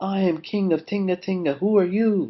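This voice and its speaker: In a put-on character voice, a man pitches his speech high and keeps a moderate pace. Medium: read story.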